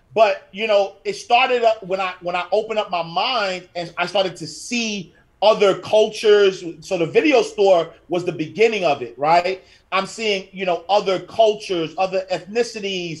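With a New York accent, a man speaks at a high pitch and a moderate pace, his pitch varying in an ordinary way. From Harlem, New York City. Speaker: financial educator and author. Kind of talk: interview.

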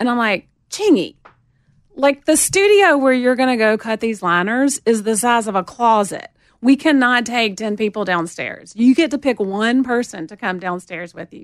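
A woman with a Southern accent speaks in a fairly high pitch, her intonation lively and her loudness swinging widely. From US South, Montgomery, Alabama. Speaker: record label general manager. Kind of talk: casual chat. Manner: drawn-out vowels.

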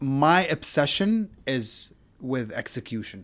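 In an Arabic accent, a man speaks at a medium pitch with lively intonation. The recording is very clean, with a silent background. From Syria and Saudi Arabia. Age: 30s. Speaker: music producer. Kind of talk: casual chat. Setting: home studio in a bedroom.

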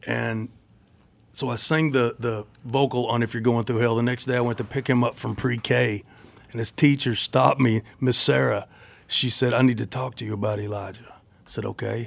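A man with a plain, everyday voice keeps fairly even intonation, a medium pitch and a moderate pace. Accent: American. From Tennessee, US South. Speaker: country singer.

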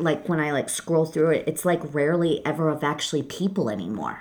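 A woman with a Michigan accent talks at a fairly quick pace in a very deep, low pitch, on a very clean recording with a silent background. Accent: Michigan US Midwest. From Detroit, Michigan. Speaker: graphic designer. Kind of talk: casual chat. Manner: loud; blunt.

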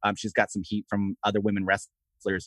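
A man at a moderate pace. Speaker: wrestling podcast co-host. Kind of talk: casual podcast chat. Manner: relaxed, laid back.

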